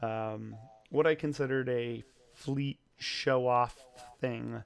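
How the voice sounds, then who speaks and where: A man at medium pitch, speaking very slowly. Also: fairly even intonation. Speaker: 3D modeling podcast host. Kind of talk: casual chat. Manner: hesitant, many fillers.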